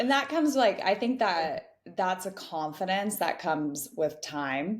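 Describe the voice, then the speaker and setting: This speaker has a West Coast US accent and a fairly slow pace. The pitch swings very widely. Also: woman, medium pitch for a woman. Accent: General American (West Coast). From Northern California, US. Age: 20s. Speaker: podcast guest, early-career professional and mentor. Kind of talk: casual interview chat.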